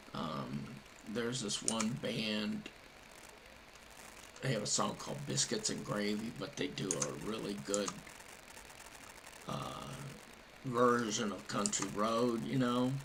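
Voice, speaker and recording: Over noticeable background noise, a speaker with an American accent talks in a relaxed tone at a very slow pace, with long, frequent pauses. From Ohio, with Kentucky family. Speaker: gaming streamer. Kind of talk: live gameplay commentary. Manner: relaxed, casual.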